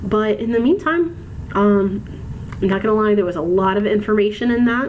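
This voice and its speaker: A woman with an American accent at a fairly quick pace, amid audible room echo and noticeable background noise. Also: fairly high pitch for a woman, ordinary pitch variation. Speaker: college instructor. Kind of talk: recorded lecture. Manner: measured, precise in lectures; frequent filler ums.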